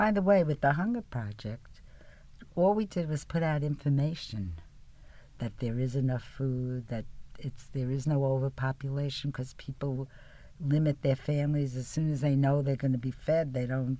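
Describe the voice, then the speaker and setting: In a very clean recording with a silent background, a woman with a New York accent speaks at a moderate pace in a very deep, low pitch, her tone dark and mellow with ordinary pitch variation. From New York City, the Bronx. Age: 80s+. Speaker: peace activist. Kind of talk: casual chat. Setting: studio.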